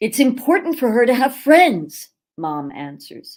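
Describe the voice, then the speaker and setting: A woman's voice with vocal fry and very wide pitch swings at a fairly slow pace, in a very clean recording with a silent background. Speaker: audiobook narrator. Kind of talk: audiobook narration, horror story reading.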